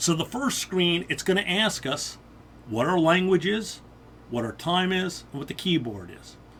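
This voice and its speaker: A man talks at a high pitch. His loudness swings widely. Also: lively intonation, moderate pace. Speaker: IT instructor. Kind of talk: tutorial.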